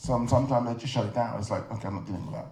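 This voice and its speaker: A man with a London accent, medium in pitch, with noticeable background noise. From London, England. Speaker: film director and artist. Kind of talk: interview answer.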